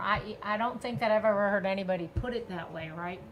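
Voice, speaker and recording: Her medium-pitched voice shows ordinary pitch variation as this woman speaks over noticeable background noise. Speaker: podcast co-host. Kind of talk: interview question.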